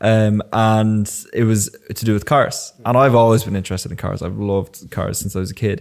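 Speaking at a moderate pace in an Irish accent, a man uses a fairly low pitch and fairly even intonation. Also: very clean recording, silent background. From Ireland, Enniskillen and Wicklow. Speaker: videographer. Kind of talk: casual chat.

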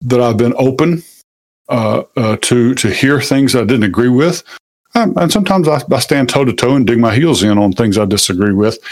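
Medium pitch marks this man's voice. Its variation stays ordinary. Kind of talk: casual conversation. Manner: halting, many false starts and fillers.

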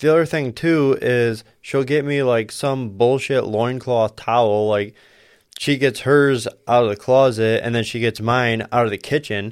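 In a normal speaking voice of medium pitch, a man talks at a fairly slow pace with fairly even intonation, on a very clean recording with a silent background. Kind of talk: casual chat. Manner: crude, joking.

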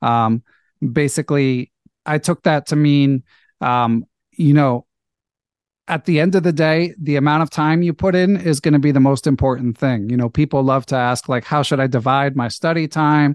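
With very even loudness and ordinary pitch variation, a man speaks at a moderate pace and fairly high pitch against a quiet background, in a dry, close sound with no echo. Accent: Philadelphia. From US, Philadelphia. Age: 40s. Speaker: chess podcast host, national master. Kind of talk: casual interview.

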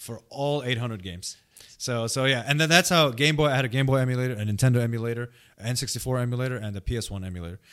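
This man talks at a very fast pace. His pitch is medium. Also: ordinary pitch variation. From Saudi Arabia and Bahrain. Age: 30s. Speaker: professor and academic advisor. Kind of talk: casual chat. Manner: repetitive, stammering restarts.

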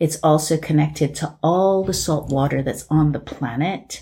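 A woman speaks with a very deep, low pitch. Her tone is dark and mellow, and somewhat breathy. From England. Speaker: artist and healing practitioner. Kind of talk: casual chat.

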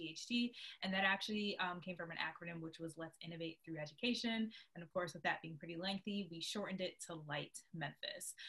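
This woman has an unremarkable speaking voice, pitched fairly low. She talks at a fairly quick pace with ordinary pitch variation. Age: 20s. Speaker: nonprofit program director. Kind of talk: casual interview.

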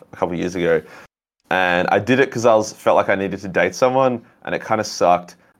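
With an Australian accent, a man speaks at a moderate pace with ordinary pitch variation on a very clean recording with a silent background. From Australia, Melbourne. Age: young. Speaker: YouTube content creator. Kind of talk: casual chat.

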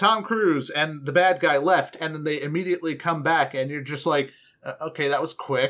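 The intonation here is lively. It comes in a normal speaking voice. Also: man. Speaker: podcast host. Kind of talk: casual chat. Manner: joking.

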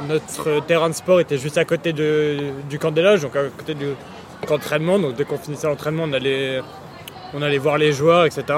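Over noticeable background noise, a man talks at a fairly quick pace in a monotone, flat intonation, with long, frequent pauses. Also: fairly high pitch for a man. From France, Paris region. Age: 20s. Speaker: football supporter. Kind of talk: casual interview. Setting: motorway service area.

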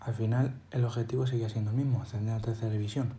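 A man speaks in a dark, mellow tone at medium pitch, somewhat breathy. His intonation is monotone and flat, with audible room echo. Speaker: journalism student podcaster on football. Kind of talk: scripted narration.

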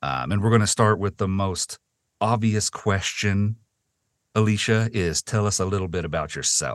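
Fairly low in pitch, a man speaks with an American accent at a moderate pace and ordinary pitch variation. It is an ordinary speaking voice, heard in a dry, close sound with no echo. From US South. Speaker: podcast host and interviewer. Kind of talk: casual interview.

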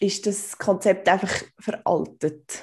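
Her tone dark and mellow, a woman talks at a medium pitch with monotone, flat intonation. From Switzerland, canton Aargau. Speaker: podcast co-host. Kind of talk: casual chat.

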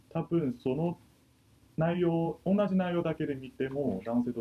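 The man's tone is dark and mellow, at medium pitch. He speaks at a fairly slow pace. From China. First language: Chinese (speaking Japanese). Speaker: university student. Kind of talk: casual discussion.

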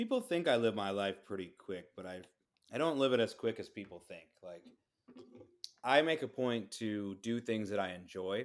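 A man with an ordinary speaking voice talks at a medium pitch and a moderate pace. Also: lively intonation, big swings in loudness. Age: 30s. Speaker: DJ. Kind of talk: casual chat.

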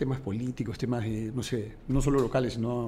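A man speaks in a Peruvian accent at a fairly quick pace. His tone is dark and mellow. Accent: Peruvian Spanish (Lima). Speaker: entrepreneur. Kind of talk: interview.

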